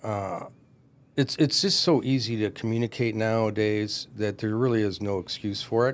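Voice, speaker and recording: A man with a Michigan accent at a moderate pace. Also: medium pitch for a man, ordinary pitch variation, very clean recording, silent background. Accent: Michigan American English. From Michigan, US Midwest. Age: 60s. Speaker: commercial real estate broker. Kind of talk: podcast interview.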